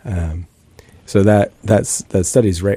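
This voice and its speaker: A man speaks at a moderate pace with a very deep, low pitch, a dark, mellow tone, ordinary pitch variation and an American accent. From US Pacific Northwest, Bellingham, Washington. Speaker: ecology professor. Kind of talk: casual interview conversation.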